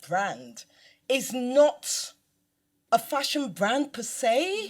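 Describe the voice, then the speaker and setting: A woman talks with a Nigerian accent at a high pitch. Her pitch swings very widely. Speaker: fashion designer. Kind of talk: live panel interview. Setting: stage with audience.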